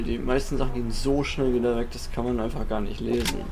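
A man talking at a very fast pace, with noticeable background noise and audible room echo. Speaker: gaming YouTuber. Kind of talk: let's play commentary. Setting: home recording setup. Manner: casual, thinking aloud.

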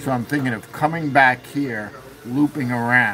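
A man at a fairly slow pace, noticeable background noise around him. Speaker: RC submarine hobbyist; livestream host. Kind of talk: casual chat. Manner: halting. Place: workshop.

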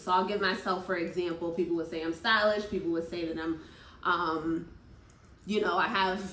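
A woman speaking at a moderate pace amid audible room echo. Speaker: speaker. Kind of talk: motivational talk to group. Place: home room. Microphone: phone near.

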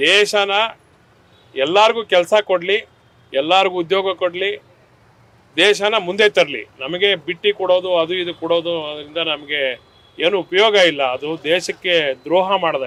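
Pitched high, this man's voice shows ordinary pitch variation. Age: 60s. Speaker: member of the public interviewed. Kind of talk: street interview.

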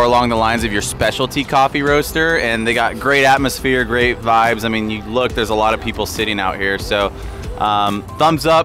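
The delivery is fairly quick, with hardly any pauses and ordinary pitch variation. Faint music plays behind a dry sound with no echo. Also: man. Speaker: coffee vlog host. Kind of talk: casual vlog chat. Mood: relaxed, upbeat. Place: cafe. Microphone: lapel.

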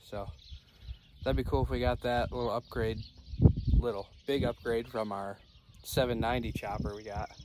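Loud background noise accompanies a man speaking at a fairly slow pace, the sound dry with no echo. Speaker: farmer vlogger. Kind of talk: casual vlog chat. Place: farm machine. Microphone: phone near.

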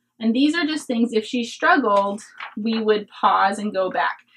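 Lively intonation from a woman at a moderate pace. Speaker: homeschooling parent. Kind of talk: curriculum review talk to camera. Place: home room.

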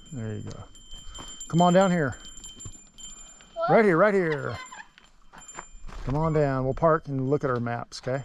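Long, frequent pauses break up speech at a moderate pace, recorded dry with no echo and with light background noise. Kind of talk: casual encouragement while riding. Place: forest. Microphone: phone near.

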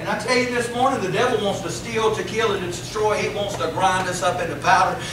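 A man's speech comes with audible room echo and noticeable background noise. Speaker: preacher. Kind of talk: sermon. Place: church.

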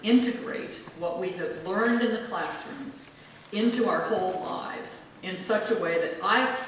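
In a room with strong echo and light background noise, a woman speaks at a fairly slow pace. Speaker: minister. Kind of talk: acceptance speech. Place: hall.

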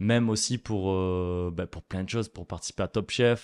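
A man's plain, everyday voice, fairly low in pitch, with fairly even intonation at a moderate pace against a quiet background. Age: 20s. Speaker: chef; guest. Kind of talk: interview. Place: studio. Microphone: studio mic.

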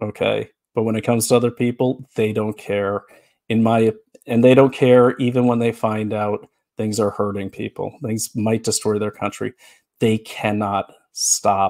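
Over a quiet background, a man speaks fairly slowly in a monotone, flat intonation. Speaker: political commentator host. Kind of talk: angry political rant, live monologue. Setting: live webcast. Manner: impassioned, fiery, indignant; unscripted, speaking from the heart. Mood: earnest, critical, animated. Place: home room. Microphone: headset.

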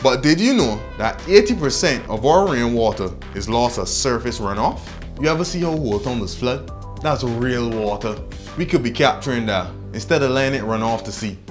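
Over clear background music, a man with a Barbadian accent talks at a moderate pace with lively intonation. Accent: Barbadian (Bajan). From Barbados. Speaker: explainer presenter. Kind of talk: educational explainer to camera. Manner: casual, humorous.

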